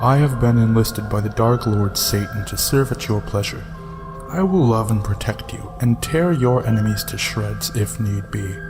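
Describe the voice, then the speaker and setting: A man puts on a booming character voice at medium pitch, speaking at a moderate pace over loud background music. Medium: read story. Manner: flat, formal, monotone.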